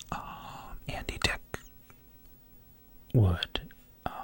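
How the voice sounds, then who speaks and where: A man whispers with an American accent amid noticeable background noise. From New York. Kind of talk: ASMR whispered story time for sleep and relaxation. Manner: soft-spoken, whispering.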